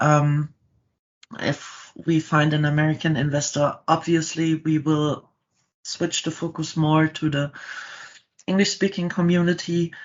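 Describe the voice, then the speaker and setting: Someone with a German accent speaks at a fairly slow pace, with long, frequent pauses. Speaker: startup founder. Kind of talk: podcast interview. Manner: halting.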